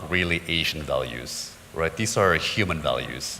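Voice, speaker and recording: With an American accent, a man talks in a very deep, low voice. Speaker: business forum panelist. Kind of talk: panel discussion. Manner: halting, many fillers.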